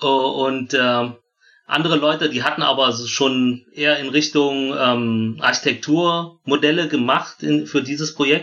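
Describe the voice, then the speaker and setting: A man's fairly high voice, bright and sharp in tone, fairly slow, with fairly even intonation. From Germany. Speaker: footwear engineer. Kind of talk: casual chat. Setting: remote call.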